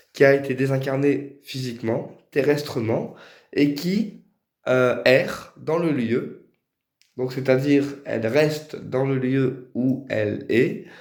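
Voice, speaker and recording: Medium-pitched male voice at a very slow pace, fairly even in intonation, with audible room echo. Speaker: spiritual medium. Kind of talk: tutorial. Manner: hesitant.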